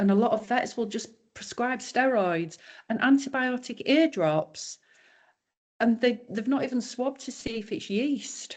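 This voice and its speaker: Against a quiet background, a woman speaks at a moderate pace with a Yorkshire accent. Her pitch is fairly high and her intonation lively. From Yorkshire, northern England. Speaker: raw dog food business owner. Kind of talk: podcast interview.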